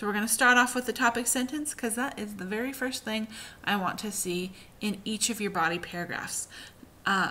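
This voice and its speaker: A woman speaks with long, frequent pauses in a fairly high pitch. Her tone is bright and sharp, with ordinary pitch variation. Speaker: teacher. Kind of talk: tutorial.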